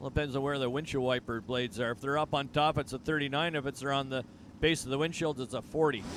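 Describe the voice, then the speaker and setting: This man has a fairly high pitch and an American accent. He talks at a fairly quick pace with ordinary pitch variation. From Canada, Toronto area. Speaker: guest drag racing announcer. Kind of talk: live commentary. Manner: casual, chatty.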